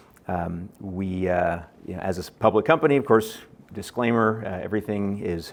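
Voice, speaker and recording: In a very deep, low voice, a man talks with an American accent and fairly even intonation. The background is quiet. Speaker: biotech company executive. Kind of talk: conference presentation. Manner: many fillers and false starts.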